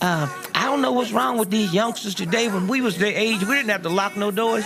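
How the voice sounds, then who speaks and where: Over music in the background, a man speaks at a fairly quick pace in a high pitch. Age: 70s. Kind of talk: stand-up.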